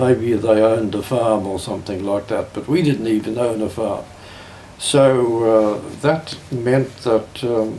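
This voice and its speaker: Over noticeable background noise, a man with an Australian accent speaks at a fairly slow pace with ordinary pitch variation. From South Australia. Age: 80s+. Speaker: retired pastor. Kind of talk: family oral history interview. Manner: halting.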